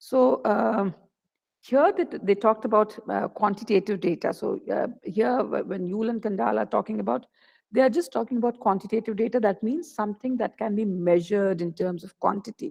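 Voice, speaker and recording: A woman speaks at a fairly quick pace in a fairly high voice, with lively intonation and some vocal fry. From India. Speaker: associate professor of economics. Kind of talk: lecture. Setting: video call. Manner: fast; halting.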